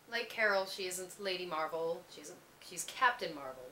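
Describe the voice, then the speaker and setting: A woman talks at a moderate pace with a medium pitch and ordinary pitch variation. Behind her is noticeable background noise. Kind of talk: personal letter reading.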